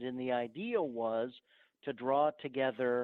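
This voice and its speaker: A man speaks with a northern US accent. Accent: northern US (Yankee). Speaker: archaeologist. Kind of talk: podcast interview.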